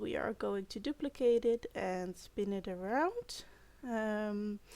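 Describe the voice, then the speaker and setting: Speaking with a non-native accent, a woman has a fairly high pitch and ordinary pitch variation. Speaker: video game content creator. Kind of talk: gameplay build commentary. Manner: hesitant, many fillers.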